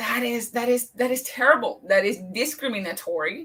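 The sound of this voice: A woman speaks at a moderate pace with fairly high pitch, a fairly bright tone, a slightly husky edge and lively intonation.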